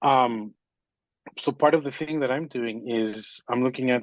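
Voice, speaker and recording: Dry and close with no echo over a quiet background, the voice has an American accent, fairly even intonation and a moderate pace. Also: man. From Miami, Florida. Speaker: conductor. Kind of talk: panel discussion. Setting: video call. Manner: halting, many fillers.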